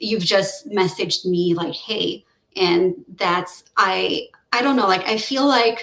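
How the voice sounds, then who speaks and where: A woman's medium-pitched voice in a Quebec accent, very slow, with ordinary pitch variation. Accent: French Canadian accent in English. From French-speaking Canada (Quebec area), Romanian family. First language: French. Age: 30s. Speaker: researcher. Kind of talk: casual chat. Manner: halting, many fillers and restarts.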